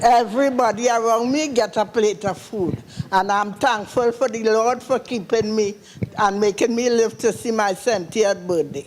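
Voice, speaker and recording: A woman talks at a fairly high pitch in a Trinidadian accent. Noticeable background noise runs underneath. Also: ordinary pitch variation, moderate pace. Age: 60s. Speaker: audience member. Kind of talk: question from the floor.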